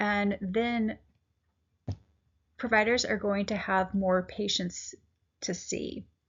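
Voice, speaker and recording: At a very slow pace, a woman speaks with a fairly high, somewhat breathy voice and fairly even intonation. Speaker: patient support group administrator, health educator. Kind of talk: informal educational talk. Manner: hesitant, many fillers.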